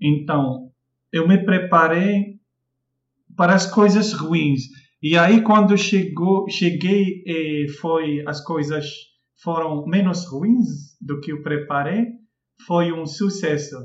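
Slowly, with long, frequent pauses, a man with an Arabic accent speaks at high pitch with ordinary pitch variation at a very slow pace. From Morocco, Casablanca. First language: Arabic (speaking Portuguese). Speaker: language teacher. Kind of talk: casual chat. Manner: halting.

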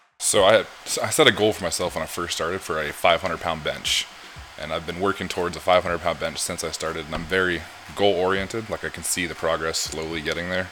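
Quiet and monotone, a man speaks at a fairly quick pace with flat intonation and a very deep, low pitch. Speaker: podcast guest, powerlifter. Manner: quiet, speaks at low volume.

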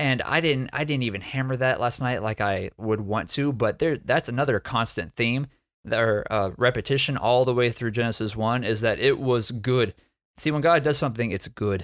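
A man's ordinary speaking voice with an American accent, medium in pitch, at a moderate pace with ordinary pitch variation, on a very clean recording with a silent background. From Texas. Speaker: church planter and preacher. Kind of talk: Bible teaching in a casual podcast chat. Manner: repeats words and restarts sentences.

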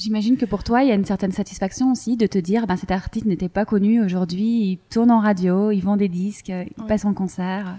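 In a very clean recording with a silent background, a woman speaks at a fairly quick pace with hardly any pauses. Her medium-pitched voice is somewhat breathy and dark and mellow, with fairly even intonation. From Belgium. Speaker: podcast host. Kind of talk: podcast interview.

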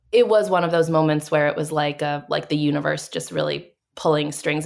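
A woman talks at a very fast pace in an American accent, her pitch very deep and low with vocal fry. The recording is very clean, with a silent background. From Massachusetts, north of Boston. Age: 30s. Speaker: political communications executive director. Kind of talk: interview. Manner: casual, filler-heavy.

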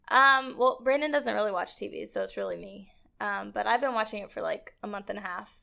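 A woman with an American accent at a fairly quick pace, big swings in loudness, and a very clean recording with a silent background. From Edmonds, Washington, US Pacific Northwest. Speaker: podcast guest. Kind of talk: casual chat. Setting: studio.

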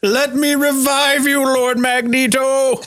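A man uses a put-on character voice. He talks at a fairly slow pace with extremely high pitch for a man. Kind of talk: grandiose, declamatory. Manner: over-the-top, theatrical.

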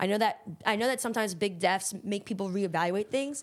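Recorded very cleanly against a silent background, a woman with a plain, everyday voice talks fairly quickly at fairly high pitch with ordinary pitch variation. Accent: American. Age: 20s. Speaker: podcast co-host. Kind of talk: casual chat.

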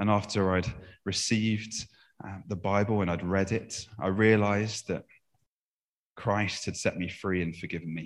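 At a moderate pace, a man speaks in a monotone, flat way with long, frequent pauses, recorded very cleanly against a silent background. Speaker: interpreter. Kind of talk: reading aloud. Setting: church.

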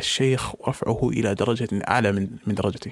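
This man talks at a moderate pace with ordinary pitch variation, recorded with a dry, close sound and no echo. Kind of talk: recorded voice message monologue. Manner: formal Standard Arabic.

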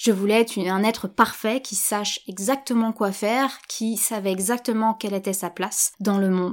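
A woman's fairly high voice at a moderate pace, fairly even in intonation, on a very clean recording with a silent background. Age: 30s. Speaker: yoga teacher and podcast host. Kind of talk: solo podcast monologue. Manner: hesitant, with fillers and repetitions.

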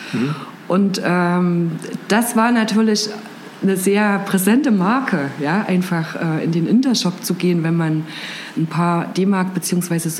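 A woman's fairly low voice at a very slow pace, with ordinary pitch variation and noticeable background noise. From Thuringia, eastern Germany (Gera). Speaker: head of communications and marketing. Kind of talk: interview.

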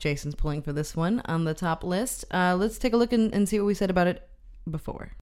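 A woman with a plain, everyday voice speaks at medium pitch and a fairly quick pace, her pitch varying in an ordinary way. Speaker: film podcast co-host. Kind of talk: casual chat.

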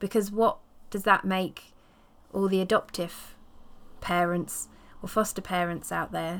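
A woman with an English accent, medium in pitch and warm in tone, in a monotone, flat intonation at a fairly slow pace with long, frequent pauses, in a very clean recording with a silent background. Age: 40s. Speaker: podcast host, herbalist and period activist. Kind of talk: personal storytelling monologue. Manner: casual and warm.

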